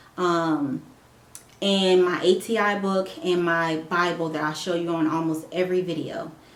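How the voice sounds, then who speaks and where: A woman with a fairly low voice speaks at a fairly slow pace amid audible room echo. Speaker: nursing student and vlogger. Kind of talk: casual vlog update. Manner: halting, stumbling; rambling.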